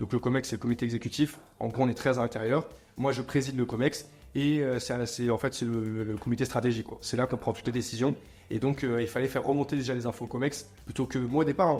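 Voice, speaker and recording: A man's medium-pitched voice at a very fast pace, fairly even in intonation, with music in the background. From France, Montreuil near Paris. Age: 20s. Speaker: entrepreneur. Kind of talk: interview.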